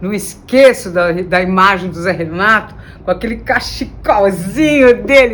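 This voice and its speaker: Against noticeable background noise, a woman talks fairly slowly with lively intonation. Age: 60s. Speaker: singer-songwriter. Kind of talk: interview monologue.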